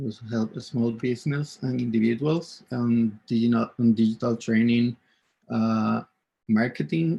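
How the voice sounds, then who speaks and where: At a fairly slow pace, a man with a Spanish accent speaks in a dark, mellow tone at a medium pitch. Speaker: event host, UX designer. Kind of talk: conference session introduction. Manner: halting, many fillers.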